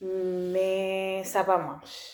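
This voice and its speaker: A woman speaks with a non-native accent. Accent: non-native French learner. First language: not French (speaking French). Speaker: language learner vlogger. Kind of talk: casual vlog talk. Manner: halting, many restarts and fillers.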